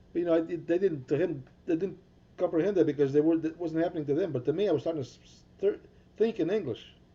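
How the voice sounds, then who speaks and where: Speaking at a very fast pace, a man uses a high, dark, mellow voice with ordinary pitch variation and big swings in loudness. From Portuguese-speaking island, raised Hudson, Massachusetts. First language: Portuguese. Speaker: podcast co-host, former guitarist. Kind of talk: casual chat.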